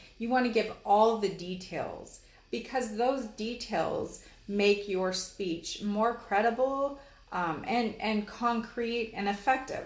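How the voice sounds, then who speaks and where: Speaking at a very slow pace, a woman with a fairly high pitch and ordinary pitch variation is heard with audible room echo. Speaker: college instructor. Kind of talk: lecture. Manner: hesitant, many fillers.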